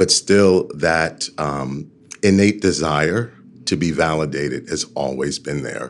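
A man with an American accent, lively intonation and vocal fry. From New York City. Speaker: leadership coach and organizational development consultant. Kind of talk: interview.

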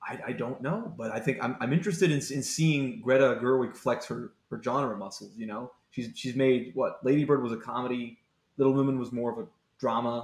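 A man with a medium pitch talks at a fairly quick pace, his pitch varying in an ordinary way. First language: not English. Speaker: film podcast guest. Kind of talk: casual chat.

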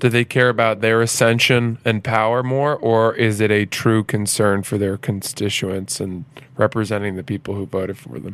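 A plain, everyday voice from a man with an American accent, medium pitch, moderate pace and ordinary pitch variation. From Maine, US (Freeport). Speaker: comedian and podcaster. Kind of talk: casual chat. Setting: host's apartment.

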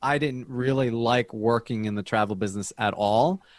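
In a very clean recording with a silent background, a man with an American accent talks at a moderate pace in a normal speaking voice of medium pitch. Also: dry, close sound with no echo. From US, New Jersey. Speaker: dietitian. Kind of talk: interview.

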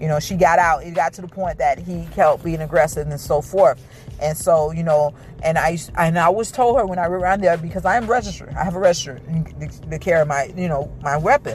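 Noticeable background noise sits behind a woman's fairly low voice. She talks at a fairly quick pace with ordinary pitch variation. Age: 20s. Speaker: podcast host. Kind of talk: casual monologue.

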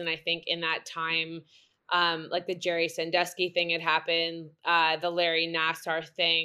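A woman with a Canadian accent, fairly low in pitch, at a moderate pace. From Canada, Vancouver area. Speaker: former professional soccer player. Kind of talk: interview. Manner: halting, many fillers.

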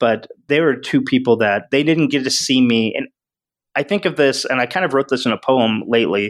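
A man with a plain, everyday voice talks at a fairly quick pace in a medium pitch with ordinary pitch variation. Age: 40s. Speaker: author and improv comedian. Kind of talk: casual chat.

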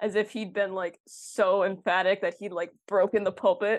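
An ordinary speaking voice with an American accent moves along at a moderate pace. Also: woman. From Minnesota, Twin Cities suburbs. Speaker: university student. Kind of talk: casual chat.

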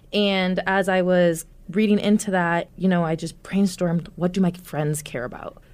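An unremarkable speaking voice from a woman with an American accent, medium-pitched, keeps a fairly even intonation at a moderate pace. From US Midwest (Omaha, Nebraska). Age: 20s. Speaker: activist and talk show host. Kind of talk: casual interview conversation.

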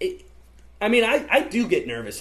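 Speaking at a fairly slow pace, a man talks with a Midwestern American accent. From US Midwest (central Illinois). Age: 20s. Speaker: college student. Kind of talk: casual chat.

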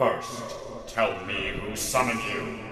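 A man does a put-on character voice at a fairly slow pace, with clear echo and clear background noise. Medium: audio drama. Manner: wry, authoritative.

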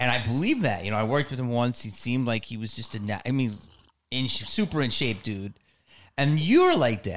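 Here a man is talking. His words come in an American accent. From Philadelphia area. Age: 50s. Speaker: podcast host. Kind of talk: casual chat. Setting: studio.

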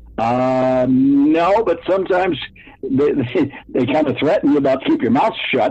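Through noticeable background noise, a man talks at a fairly slow pace with a fairly high pitch, ordinary pitch variation and very even loudness. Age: 70s. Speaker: guest witness. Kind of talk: casual interview.

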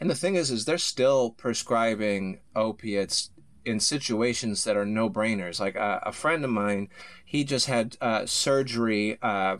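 Moderate pace and ordinary pitch variation from a man with an American accent, his pitch medium. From Chicago area, Illinois. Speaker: stand-up comedian. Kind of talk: casual chat. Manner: halting, many fillers.

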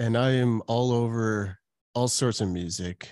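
Heard on a very clean recording with a silent background, a man with a Canadian accent speaks with ordinary pitch variation. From Calgary, Canada. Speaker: pastor and author. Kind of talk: casual interview chat.

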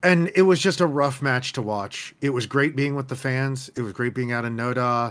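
A man with a normal speaking voice, medium pitch and ordinary pitch variation, at a moderate pace, on a very clean recording with a silent background. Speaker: co-host soccer analyst. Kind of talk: casual post-match discussion.

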